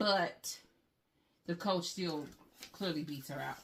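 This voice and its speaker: A woman speaks in a somewhat breathy voice. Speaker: handbag reviewer, YouTuber. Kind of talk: product review tutorial. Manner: casual, conversational.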